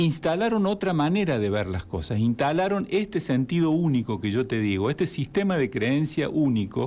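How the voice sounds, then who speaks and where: A man's fairly high, dark, mellow voice with very wide pitch swings and very even loudness, at a moderate pace with hardly any pauses, on a very clean recording with a silent background. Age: 60s. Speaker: therapist and civic group spokesman. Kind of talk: radio interview.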